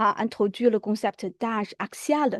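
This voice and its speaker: Fairly high in pitch, a woman talks with ordinary pitch variation, recorded dry and close with no echo over a quiet background. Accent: non-native. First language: Chinese (speaking French). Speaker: lecturer. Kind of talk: lecture. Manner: hesitant with fillers.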